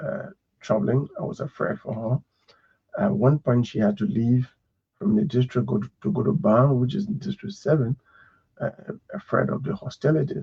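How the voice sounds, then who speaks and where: A man with a medium pitch and vocal fry speaks at a moderate pace, making very wide pitch swings and taking long, frequent pauses. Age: 60s. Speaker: lawyer and politician. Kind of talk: radio interview. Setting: radio studio.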